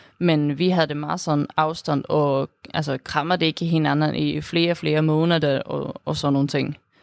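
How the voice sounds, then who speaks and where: A woman with a Swedish accent, a very deep, low pitch and a monotone, flat intonation, on a very clean recording with a silent background. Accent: Swedish accent in Danish. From Sweden. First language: Swedish (speaking Danish). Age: 20s. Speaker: student, interviewee. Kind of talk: interview. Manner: halting, many fillers.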